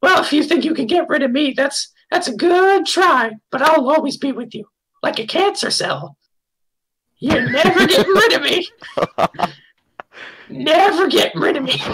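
A put-on character voice speaks at a high pitch and a moderate pace. Long pauses come often. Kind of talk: comic overacting. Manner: clingy, comically needy.

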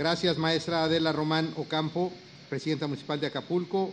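With a Mexican accent and a fairly high pitch, a man speaks at a fairly quick pace over light background noise. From Mexico. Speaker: politician. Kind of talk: public speech. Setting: public event with audience. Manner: formal. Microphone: podium.

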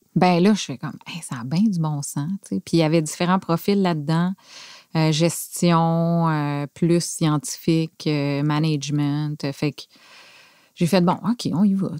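A woman with a fairly low pitch speaks at a very slow pace, her pitch varying in an ordinary way, in a dry sound with no echo against a quiet background. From Quebec City, Canada. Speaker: factory director. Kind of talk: casual interview. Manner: halting, hesitant, many fillers. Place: studio. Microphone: studio mic.

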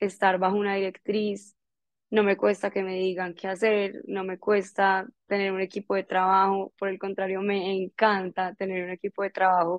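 Over a quiet background, a woman speaks at medium pitch, the sound dry with no echo. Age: 20s. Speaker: entrepreneur; guest. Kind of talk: motivational talk. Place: home room. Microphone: earbuds.

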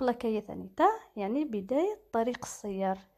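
A woman's fairly high-pitched voice of dark, mellow tone, with ordinary pitch variation. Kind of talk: driving theory lesson.

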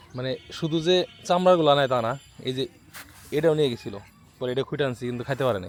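A man's voice shows ordinary pitch variation, with noticeable background noise behind it. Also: medium pitch for a man. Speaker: farm vlogger. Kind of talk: casual vlog narration.

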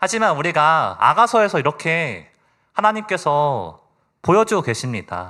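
A man with a fairly high pitch and a bright, sharp tone talks at a fairly slow pace with very wide pitch swings on a very clean recording with a silent background. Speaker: lay preacher. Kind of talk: sermon. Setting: church. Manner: formal.

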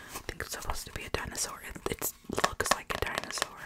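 Whispering, a woman speaks at a moderate pace. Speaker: ASMR creator. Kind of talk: casual soft-spoken ASMR chat. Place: home room. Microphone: studio mic.

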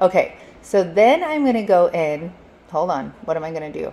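Lively in intonation, a woman speaks at a moderate pace. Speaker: DIY crafter and video creator. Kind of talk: tutorial. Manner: casual and chatty.

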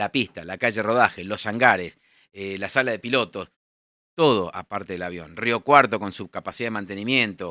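A man talks at a moderate pace with a fairly low pitch and a bright, sharp tone, his pitch moving in an ordinary way. His loudness swings widely, and the dry recording has no echo and a quiet background. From Buenos Aires, Argentina; Argentina. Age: 60s. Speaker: air force general; interview guest. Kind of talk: interview. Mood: content, reflective. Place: studio. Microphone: studio mic.

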